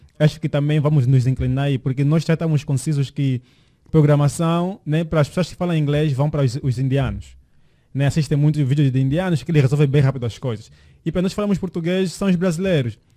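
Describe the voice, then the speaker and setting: At a very fast pace, a man talks in a fairly high, somewhat breathy voice with a dark, mellow tone and ordinary pitch variation. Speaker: podcast co-host, tech entrepreneur. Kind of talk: casual chat. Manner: halting, many repeated words.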